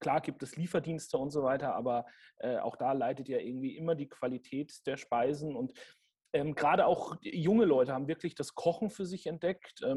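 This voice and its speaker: Somewhat breathy and dark, mellow in tone, a man's fairly high voice moves at a moderate pace with ordinary pitch variation. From Franconia, Germany. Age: 30s. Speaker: sommelier and restaurant manager. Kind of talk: interview.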